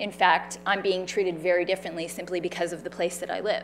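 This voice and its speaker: A woman with a Canadian accent at a fairly quick pace, music in the background. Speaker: cancer survivor and patient advocate. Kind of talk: public talk. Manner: loud.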